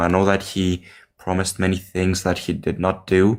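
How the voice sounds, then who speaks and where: A man speaks with a Greek accent. His pitch is very deep and low. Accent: non-native English, Greek. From Greece. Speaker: caller. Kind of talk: call-in question. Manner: hesitant.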